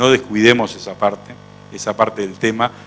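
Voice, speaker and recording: Here is an ordinary speaking voice from a man. His pitch is fairly low, with ordinary variation. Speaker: veterinary researcher and professor. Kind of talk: conference lecture.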